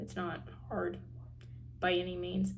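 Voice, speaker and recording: A woman with an American accent speaks at a very slow pace, with audible echo from the room. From Tennessee. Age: young. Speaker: university student vlogger. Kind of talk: casual vlog. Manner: casual, many filler words.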